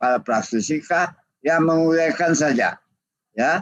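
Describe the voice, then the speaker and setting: Speaking at a very slow pace, a man with a fairly high voice shows ordinary pitch variation. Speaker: judge giving guest lecture. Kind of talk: webinar lecture. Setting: online video call. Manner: halting.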